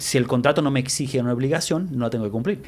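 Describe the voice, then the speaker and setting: Over noticeable background noise, a speaker with an Argentine accent talks with ordinary pitch variation. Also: man. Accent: Argentine-tinged Spanish. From US-born to Argentine parents. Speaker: lawyer. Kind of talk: interview. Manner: mixes English words into Spanish.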